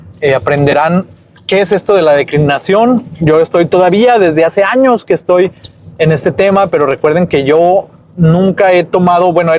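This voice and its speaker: This man speaks at a high pitch and a moderate pace, with ordinary pitch variation. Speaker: language teacher vlogger. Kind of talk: vlog tutorial. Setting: outdoors. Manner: halting.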